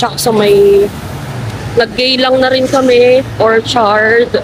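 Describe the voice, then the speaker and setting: Over noticeable background noise, a woman with a fairly high pitch speaks fairly slowly in a monotone, flat intonation. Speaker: travel vlogger. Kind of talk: travel vlog narration. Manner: casual.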